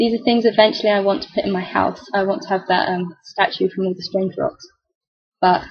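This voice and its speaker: A woman talks at a fairly quick pace in a somewhat breathy, medium-pitched voice with ordinary pitch variation. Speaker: gamer. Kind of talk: game commentary. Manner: casual, chatty. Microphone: laptop keyboard microphone.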